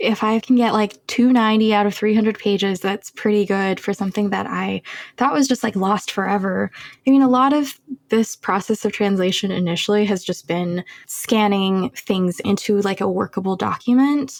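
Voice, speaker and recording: A medium-pitched woman in an American accent, at a moderate pace with ordinary pitch variation. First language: Chinese. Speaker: cancer biologist and poet. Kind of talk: interview conversation.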